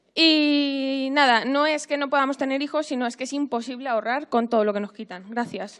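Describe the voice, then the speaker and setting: A woman speaks at a high pitch and a fairly quick pace. She leaves hardly any pauses. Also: ordinary pitch variation. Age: 20s. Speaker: young worker asking a question. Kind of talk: public question at town hall.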